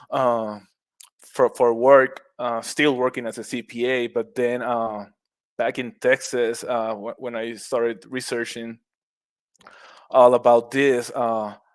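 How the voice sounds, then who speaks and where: A man with a Puerto Rican accent speaks at a very slow pace in a medium pitch with monotone, flat intonation. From Puerto Rico, west coast beach town. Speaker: mushroom cultivator, former accountant. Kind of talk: podcast interview. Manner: halting, many repetitions.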